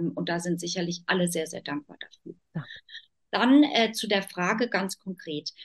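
A woman talks at a fairly slow pace with a medium pitch. Her voice is somewhat breathy. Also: lively intonation, dry, close sound with no echo. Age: 40s. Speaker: decision-making expert and business consultant. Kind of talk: interview.

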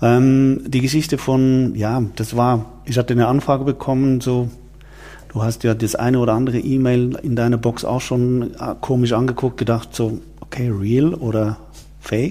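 The intonation is monotone and flat. A man is talking at a medium pitch. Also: moderate pace. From Switzerland. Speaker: wine event organizer, former media executive. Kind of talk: interview. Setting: office, in person.

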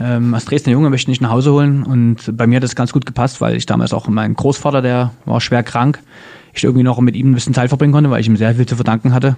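The speech runs at a very fast pace with a monotone, flat intonation. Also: man, medium pitch for a man. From Dresden, Saxony, Germany. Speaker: former goalkeeper turned entrepreneur. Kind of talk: interview conversation. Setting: at his company office.

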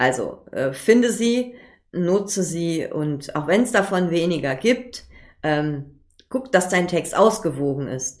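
The woman's pitch is fairly low. Her voice moves in very wide pitch swings. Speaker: podcast host, copywriter. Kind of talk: solo podcast tutorial. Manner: fast, talks without pause; casual, many filler sounds.

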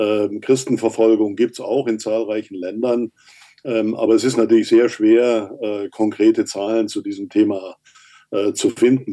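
Speaking at a fairly slow pace, a man uses a medium pitch with a dark, mellow tone. His intonation stays monotone and flat. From Turkey. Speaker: human rights expert. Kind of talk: interview. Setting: video call.

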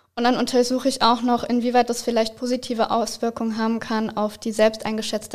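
Talking at a fairly quick pace, a woman with a fairly high pitch keeps a monotone, flat intonation. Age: 20s. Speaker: psychology student. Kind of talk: interview.

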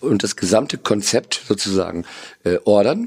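A man talks fairly slowly, his pitch rising and falling in a normal way. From northern Germany (Lower Saxony). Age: 50s. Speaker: marketing executive. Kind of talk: interview. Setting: studio. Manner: hesitant with fillers.

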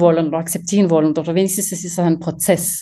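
A woman talks at a very fast pace. Her tone is dark and mellow, and somewhat breathy. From French-speaking Switzerland. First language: French (speaking German). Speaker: company co-founder, materials scientist. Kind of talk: interview.

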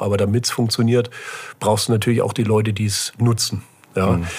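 Breathiness runs through this man's fairly low voice. His intonation stays flat and monotone. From Germany, Böblingen/Sindelfingen area (Swabia). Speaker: startup incubator CEO. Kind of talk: casual interview.

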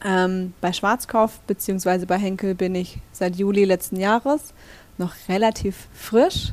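A woman's medium-pitched, unremarkable speaking voice with ordinary pitch variation, dry and close with no echo. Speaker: store manager. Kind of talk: interview. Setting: in the store.

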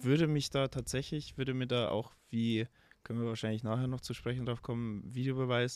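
A man speaks with a medium pitch. His intonation is monotone and flat. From Bavaria, Altötting area. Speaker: professional football goalkeeper. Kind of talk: casual interview chat. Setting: remote call from abroad.

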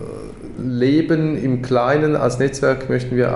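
A man's voice amid noticeable background noise, with audible room echo. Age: 40s. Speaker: education co-founder. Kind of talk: casual interview. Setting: in person at office. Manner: halting, many fillers.

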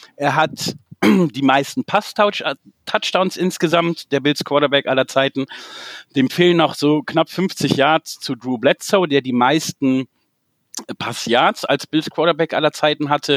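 Recorded very cleanly with a silent background, this man's fairly high voice sounds dry and close with no echo. He speaks at a very slow pace with ordinary pitch variation. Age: 40s. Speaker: football fan club founder. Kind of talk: casual chat.

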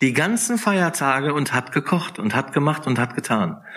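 A fairly high-pitched man talks at a moderate pace in a calm tone with very wide pitch swings. The recording is very clean, with a silent background. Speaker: author. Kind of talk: casual chat.

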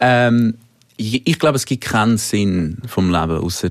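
A man talks at a moderate pace with lively intonation. His is an unremarkable speaking voice. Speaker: singer-songwriter. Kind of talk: casual interview. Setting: studio.

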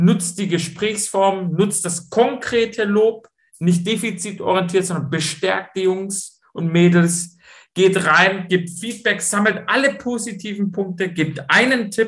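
In a Swabian accent, a man speaks at a very slow pace with a high pitch and ordinary pitch variation. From Swabia, Stuttgart (southwest Germany). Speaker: football coach and mental training entrepreneur. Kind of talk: interview.

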